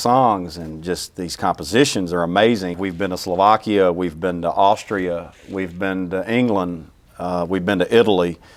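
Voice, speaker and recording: This man has a Southern US accent. He keeps a moderate pace with ordinary pitch variation. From US South, small-town Louisiana. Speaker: orchestra CEO. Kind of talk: interview. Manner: halting, many repeats.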